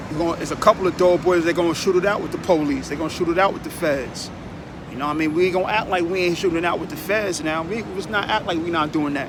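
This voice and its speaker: A man talks at a very fast pace in a high voice, with noticeable background noise and audible room echo. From Long Island, New York. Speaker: vlogger. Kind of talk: casual monologue. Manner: animated, repetitive filler.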